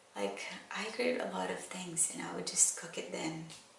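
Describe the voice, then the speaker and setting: A woman is speaking in a room with audible echo. Noticeable background noise runs under her voice. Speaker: vlogger. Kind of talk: casual chat. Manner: slow.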